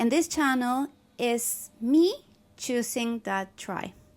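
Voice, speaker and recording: A woman's high-pitched voice with a Spanish accent. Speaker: holistic nutritionist. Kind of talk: casual talk to camera.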